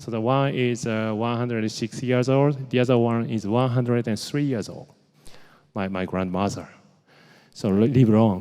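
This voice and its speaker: Through audible room echo, a man with a Japanese accent, medium pitch and a dark, mellow tone speaks at a moderate pace with fairly even intonation. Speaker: medtech innovation leader. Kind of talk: conference talk. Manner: halting.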